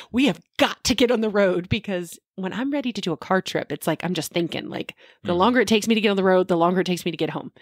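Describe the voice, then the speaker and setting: A woman speaks at a very fast pace with hardly any pauses and ordinary pitch variation, the sound dry with no echo and the background quiet. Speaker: podcast co-host. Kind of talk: casual podcast conversation. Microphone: studio mic.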